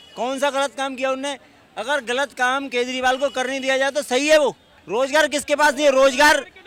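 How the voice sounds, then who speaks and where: Here a man talks at a moderate pace in an extremely high voice. His intonation is flat and monotone. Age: 60s. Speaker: lawyer, interviewee in street poll. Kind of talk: street interview.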